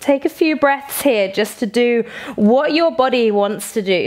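A soft-spoken woman with a British accent, a calm tone, high pitch, lively intonation and a fairly slow pace, against a quiet background. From England. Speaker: yoga teacher. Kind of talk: guided yoga flow with breath-counting cues, meditative instruction. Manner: slow, soothing, gently counting each inhale and exhale; calm, softly encouraging with frequent optional invitations. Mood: calm, soothing.

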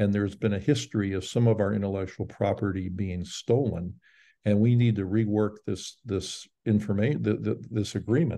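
A man speaks at a moderate pace in a fairly low, dark, mellow voice with fairly even intonation. The background stays quiet. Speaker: professor and panel moderator; professor, panel moderator. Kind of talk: panel moderation. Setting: video call. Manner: halting, with many fillers. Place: home room. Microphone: webcam.

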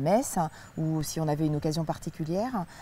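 A woman speaks at a fairly slow pace in a fairly low pitch with ordinary pitch variation. The sound is dry with no echo, over light background noise. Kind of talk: interview answer. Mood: warm, relaxed, nostalgic. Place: garden. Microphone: lapel.

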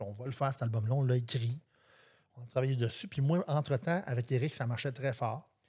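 A somewhat breathy man's voice with a dark, mellow tone at a medium pitch, fairly quick pace and ordinary pitch variation, on a very clean recording with a silent background. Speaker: singer-songwriter. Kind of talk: casual interview.

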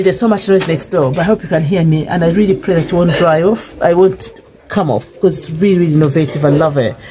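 A woman with a fairly low voice speaks at a very fast pace while faint music plays in the background. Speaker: home cook vlogger. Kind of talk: casual vlog chat. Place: kitchen. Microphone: phone near.

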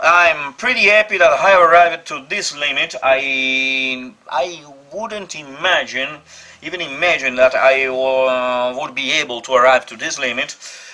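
Speaking at a fairly slow pace with an Italian accent, a man uses a fairly high pitch and big swings in loudness. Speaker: vlogger. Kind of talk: vlog monologue to camera. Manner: hesitant, halting. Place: workshop. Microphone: phone near.

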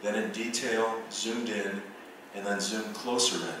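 The recording carries strong room echo and noticeable background noise. A man speaks at a medium pitch and a moderate pace. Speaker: visual artist and professor. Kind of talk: lecture. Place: hall.

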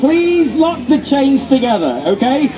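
A man with an English accent speaks over music in the background. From England. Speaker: street performer. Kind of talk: live street show crowd work. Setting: outdoors. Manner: joking, upbeat. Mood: joking, teasing. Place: street. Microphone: camera far.

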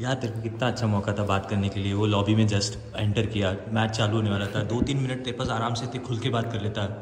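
A man talks at a fairly quick pace in a fairly low, monotone, flat voice, with audible room echo and light background noise. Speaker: vlogger. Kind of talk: casual vlog chat. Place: home room. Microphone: phone near.

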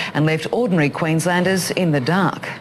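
A woman with an Australian accent at a moderate pace. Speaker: news presenter. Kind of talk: news reading. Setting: television news studio. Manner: formal, polished, even-paced.

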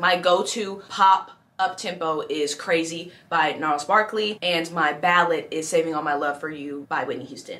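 The delivery is animated. There are hardly any pauses. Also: woman, fairly low pitch for a woman, moderate pace. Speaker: musical theatre performer and youtuber. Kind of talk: tutorial. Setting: indoors in a city, street noise. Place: home room.

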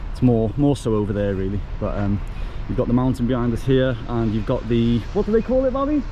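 A man talking at a very fast clip, with light background noise and a dry sound free of echo. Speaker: travel vlogger. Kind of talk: casual vlog chat. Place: street. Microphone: phone near.

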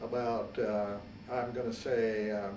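A man speaks at a very slow pace, with audible room echo and light background noise. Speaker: World War II Army veteran. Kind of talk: interview answer. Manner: hesitant, with frequent filler words. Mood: calm, reflective storytelling. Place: home room.

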